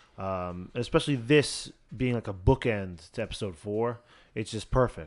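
At a moderate pace, a man talks in an unremarkable speaking voice with ordinary pitch variation over a quiet background. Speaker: podcast host. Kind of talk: casual banter, reading aloud listener stories.

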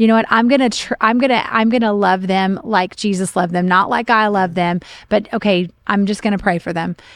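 A woman with an American accent and a plain, everyday voice talks at a fairly quick pace with fairly even intonation and hardly any pauses, on a very clean recording with a silent background. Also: medium pitch for a woman. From Oklahoma, US Midwest. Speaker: pastor. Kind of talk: casual chat.

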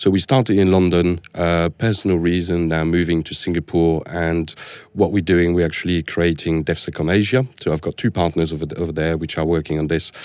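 A man with a French accent talks in a very deep, low voice with fairly even intonation. He moves at a fairly quick pace with hardly any pauses. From France. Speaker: security architect. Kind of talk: podcast interview.

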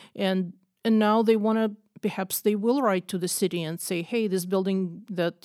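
On a very clean recording with a silent background, a woman with a Russian accent talks at a medium pitch and moderate pace with fairly even intonation. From Russia (Moscow). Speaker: visual artist and photographer. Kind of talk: podcast interview.

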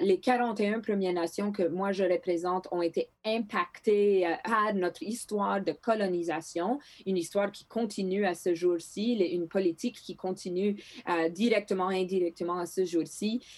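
A woman with a Greek accent speaks at a fairly slow pace, her medium pitch carrying fairly even intonation. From northern Manitoba, Canada (Thompson). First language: Greek (speaking French). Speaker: politician. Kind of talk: interview. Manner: halting with repetitions.

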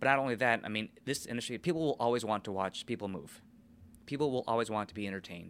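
Very fast and with an American accent, a man speaks at a medium pitch in a bright, sharp tone with ordinary pitch variation, on a very clean recording with a silent background. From Minnesota, US. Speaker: ice show supervisor, former figure skater. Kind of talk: interview.

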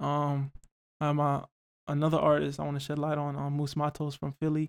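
A man with an American accent speaks at a moderate pace in a fairly high pitch, his intonation monotone and flat. The sound is dry and close with no echo, on a very clean recording with a silent background. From Northern Virginia, US (Alexandria). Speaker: music artist. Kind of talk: casual interview.

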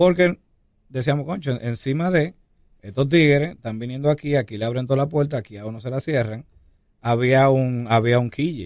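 The speaker has an ordinary speaking voice. The pace is moderate, and the pitch varies in an ordinary way. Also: man, medium pitch for a man. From Dominican Republic, Santo Domingo. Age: 40s. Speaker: hip hop artist. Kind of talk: interview.

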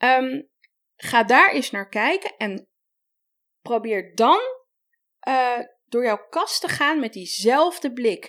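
Speaking at a very slow pace, a woman leaves long, frequent pauses. Her voice is high-pitched, with very wide pitch swings. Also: very clean recording, silent background. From Netherlands (adopted from Colombia as a child). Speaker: style coach. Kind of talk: advice podcast interview.

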